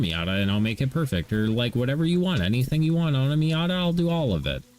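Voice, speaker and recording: Very fast, fairly high-pitched male speech amid noticeable background noise. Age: 30s. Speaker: gaming livestreamer. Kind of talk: casual chat.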